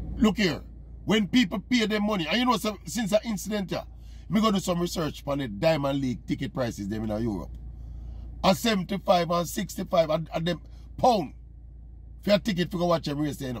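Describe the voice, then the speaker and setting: An animated, high-pitched man's voice with a Jamaican accent, fairly quick in pace yet with long, frequent pauses and very wide pitch swings, in dry sound with no echo. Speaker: sports commentator. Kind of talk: opinion monologue to camera.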